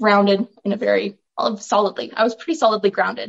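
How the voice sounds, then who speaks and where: This is a woman with a western Canadian accent. The sound is dry and close, with no echo. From Alberta, Canada (Olds, rural farm). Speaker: author and filmmaker. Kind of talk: interview.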